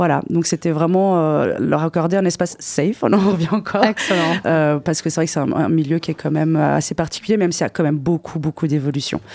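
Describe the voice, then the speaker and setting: Against noticeable background noise, a woman speaks at a fairly quick pace and fairly low pitch. Her loudness stays very even, and her intonation is fairly even. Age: 30s. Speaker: DJ. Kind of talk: casual radio interview. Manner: halting, repeats words.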